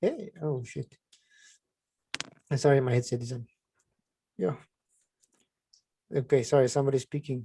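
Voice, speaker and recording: A somewhat breathy voice with a dark, mellow tone moves at a moderate pace, broken by long, frequent pauses. The recording is dry and close, with no echo. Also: man, medium pitch for a man, ordinary pitch variation. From South Africa. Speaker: trading teacher. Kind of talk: online trading class. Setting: video call.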